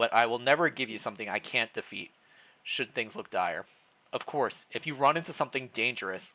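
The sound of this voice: Lively intonation in an unforced reading voice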